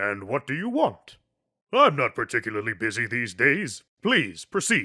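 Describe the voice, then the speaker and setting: In a put-on character voice at a moderate pace, the speaker comes through on a very clean recording with a silent background. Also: man, medium pitch for a man. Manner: pompous, theatrical.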